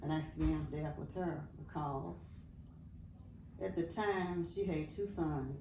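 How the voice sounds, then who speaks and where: Amid audible room echo, a woman with an American accent speaks at a fairly slow pace, with long, frequent pauses. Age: 80s+. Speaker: interviewee in documentary. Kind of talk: personal testimony. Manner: halting.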